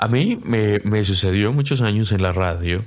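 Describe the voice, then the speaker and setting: Using a normal speaking voice, a man speaks at a fairly low pitch, his pitch varying in an ordinary way. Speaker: podcast host. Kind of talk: casual interview.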